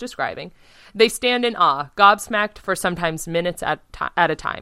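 A woman's bright, sharp voice moves at a fairly quick pace, recorded with a dry, close sound and no echo. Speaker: podcast host. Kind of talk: casual chat, comedic podcast discussion. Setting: remote recording, video call.

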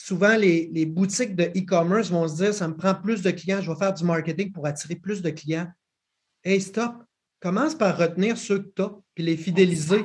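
Using a Quebec accent, a man speaks in a high voice at a moderate pace, with ordinary pitch variation. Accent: Québécois French. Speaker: podcast host. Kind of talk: casual interview.

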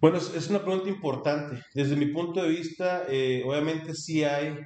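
A man talking at a moderate pace. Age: 30s. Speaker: human resources manager. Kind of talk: interview. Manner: halting.

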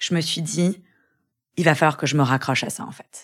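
This woman's voice is very deep and low in pitch and moves at a fairly slow pace. The recording is very clean, with a silent background. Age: 30s. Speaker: lawyer and young mother who lost her twin. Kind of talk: personal testimony in interview. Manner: halting with repetitions and fillers.

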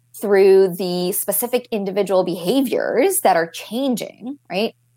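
A woman speaks fairly slowly at a medium pitch. Her tone is dark and mellow, and her intonation is lively. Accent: American. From Florida. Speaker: coaching company representative. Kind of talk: interview.

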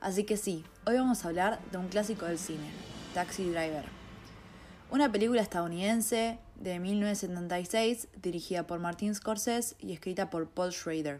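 A woman talks fairly slowly. Her voice sits at a medium pitch. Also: ordinary pitch variation. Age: 20s. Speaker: film critic podcaster, journalism student. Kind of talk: solo podcast monologue, film analysis.

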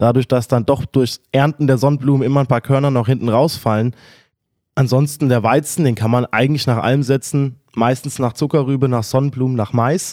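Fairly quick and fairly even in intonation, the voice has a dark, mellow tone and very even loudness, in a very clean recording with a silent background and a dry, close sound with no echo. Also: man, medium pitch for a man. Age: 20s. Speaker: young farmer. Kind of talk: interview.

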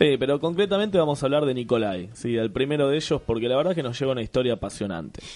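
A man's very fast, lively delivery in a Rioplatense accent at a medium pitch, with hardly any pauses and noticeable background noise. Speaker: comedy podcast host. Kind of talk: casual comedic chat.

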